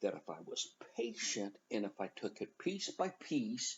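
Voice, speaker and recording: A man talks with noticeable vocal fry. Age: 60s. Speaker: college instructor. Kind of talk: tutorial. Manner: casual, conversational.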